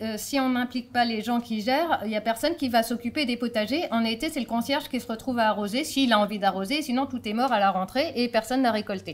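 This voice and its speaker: A woman's high voice at a fairly quick pace, with ordinary pitch variation and noticeable background noise. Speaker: deputy mayor, local politician. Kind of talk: conference talk. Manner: fast; hesitant, many fillers.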